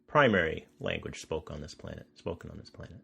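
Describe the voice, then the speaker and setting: This man has an American accent. His pace is fairly quick. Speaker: podcast host, developer evangelist. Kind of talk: casual interview chat. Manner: fast.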